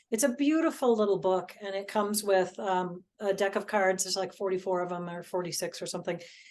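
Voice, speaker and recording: Over a quiet background, a woman has a plain, everyday voice at a medium pitch, with ordinary pitch variation and a fairly quick pace. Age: 60s. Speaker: clairvoyance teacher. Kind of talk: casual interview chat.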